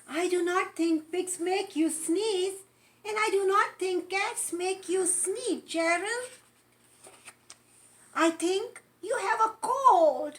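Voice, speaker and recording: Using a put-on character voice at an extremely high pitch, a woman speaks very slowly in a raised, projected voice with long, frequent pauses. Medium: read story. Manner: calm, reassuring.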